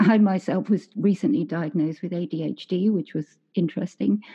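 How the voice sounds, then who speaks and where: A woman speaks at a moderate pace in a medium pitch, somewhat breathy, with ordinary pitch variation. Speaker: podcast host. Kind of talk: interview, conversational. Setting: remote call.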